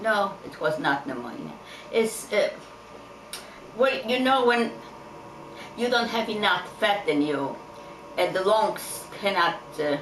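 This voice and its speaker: A woman at a medium pitch and a very slow pace, with very wide pitch swings, long, frequent pauses, audible room echo and noticeable background noise. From Poland. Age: 80s+. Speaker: Holocaust survivor. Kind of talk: interview.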